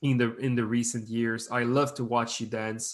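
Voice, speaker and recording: Against a quiet background, a man speaks fairly slowly at a medium pitch, his intonation monotone and flat. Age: 20s. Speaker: podcast co-host, breakdancer. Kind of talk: casual chat. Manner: halting, repeats words.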